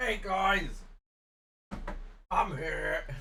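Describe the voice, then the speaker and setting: A raspy, put-on character voice sits at a middle pitch. Audible echo surrounds it. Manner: stupid silly voice.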